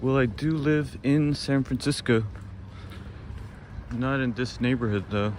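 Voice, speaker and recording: A man of medium pitch at a fairly slow pace, with ordinary pitch variation and long, frequent pauses. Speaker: walking tour live streamer. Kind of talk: casual live stream chat. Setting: outdoors. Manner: soft-spoken.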